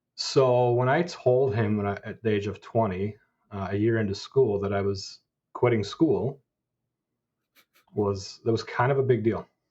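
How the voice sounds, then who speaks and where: A somewhat breathy man at a medium pitch, ordinary pitch variation, moderate pace, and long, frequent pauses. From Scotland. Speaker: business executive. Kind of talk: interview conversation.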